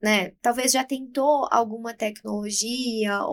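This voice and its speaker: Speaking at a very slow pace, a woman talks with a high pitch. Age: 20s. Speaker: aesthetics clinician. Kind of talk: podcast interview.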